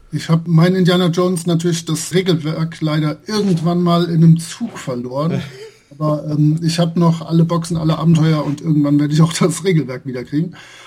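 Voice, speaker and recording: There is noticeable background noise behind this man. His pitch is fairly high and his intonation fairly even. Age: 40s. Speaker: role-playing game blogger and translator. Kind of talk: casual interview.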